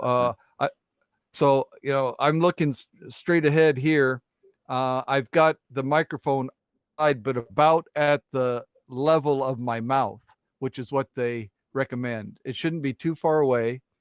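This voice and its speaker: Recorded with a dry, close sound and no echo, a man speaks at a fairly slow pace in a medium pitch with fairly even intonation. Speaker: channel host. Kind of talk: casual chat. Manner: loud. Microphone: close mic on arm with shock mount.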